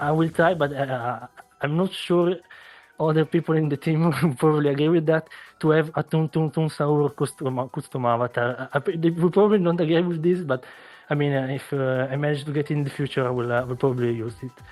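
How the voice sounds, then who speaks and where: A fairly high male voice with a non-native accent, fairly quick in pace, with ordinary pitch variation. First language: not English. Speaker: online game team manager. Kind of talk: casual interview. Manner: halting, many fillers.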